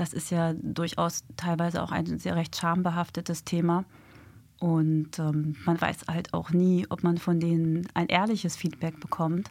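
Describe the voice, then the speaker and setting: Fairly low in pitch, a woman speaks at a fairly slow pace with monotone, flat intonation. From Hamburg, northern Germany. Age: 40s. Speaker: police detective and dating mentor. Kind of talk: radio interview. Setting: radio studio.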